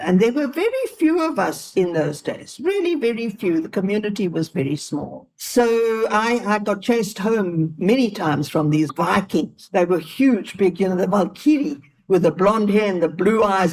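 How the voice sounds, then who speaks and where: Somewhat breathy and medium in pitch, a woman speaks at a moderate pace with very wide pitch swings and hardly any pauses. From South Africa, Johannesburg (Italian-born). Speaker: elder interviewee. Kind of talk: life-story interview. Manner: animated.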